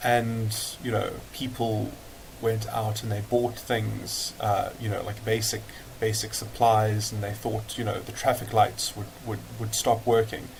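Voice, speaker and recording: The man's voice is fairly low in pitch, with monotone, flat intonation. Noticeable background noise and audible room echo are present. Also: fairly slow pace. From South Africa. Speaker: political commentator vlogger. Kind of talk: casual monologue video response. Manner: halting, many fillers and repetitions.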